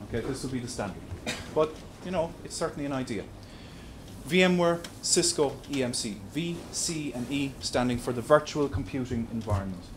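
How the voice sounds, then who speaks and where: A man with an Irish accent talks at a medium pitch and fairly quick pace, somewhat breathy and with lively intonation. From Ireland. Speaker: tech presenter. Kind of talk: presentation. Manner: repetitive, stammering restarts.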